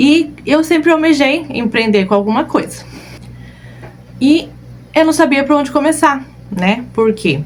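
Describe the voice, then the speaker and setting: With noticeable background noise behind her, a woman speaks at a high pitch and a fairly slow pace, with lively intonation, very even loudness and long, frequent pauses. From southern Brazil (Rio Grande do Sul), moved to Cuiabá at 13. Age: 30s. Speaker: balloon decorator and online course teacher. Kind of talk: live online class, personal story. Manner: casual, frequent filler 'né'.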